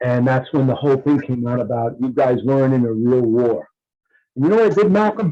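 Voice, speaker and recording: Here a man speaks at a medium pitch with a dark, mellow tone. His pace is fairly quick and his intonation is lively. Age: 70s. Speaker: Vietnam veteran, veterans' organization county commander. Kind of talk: casual chat.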